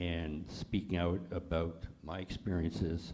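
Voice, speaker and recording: A man with a very deep, low pitch speaks in a dark, mellow, somewhat breathy tone with fairly even intonation, with audible room echo. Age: 80s+. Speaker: holocaust survivor. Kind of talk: panel discussion. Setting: congregation event with audience.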